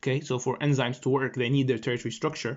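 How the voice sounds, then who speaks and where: The speaker is a man. His voice has a medium pitch. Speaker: medical student tutor. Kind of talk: lecture. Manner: fast; halting, many fillers.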